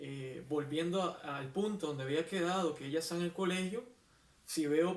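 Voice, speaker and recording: A man's high voice at a fairly slow pace, with ordinary pitch variation and noticeable background noise. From Costa Rica. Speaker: poet. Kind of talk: interview answer.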